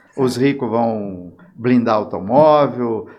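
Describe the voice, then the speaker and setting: The pitch varies in an ordinary way. Audible room echo is present. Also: man. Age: 70s. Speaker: former mayor. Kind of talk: interview. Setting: podcast.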